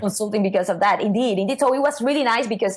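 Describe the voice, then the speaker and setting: Speaking with a non-native accent, a woman uses a fairly high pitch with ordinary variation. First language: not English. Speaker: SEO consultant. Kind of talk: interview answer. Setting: online call.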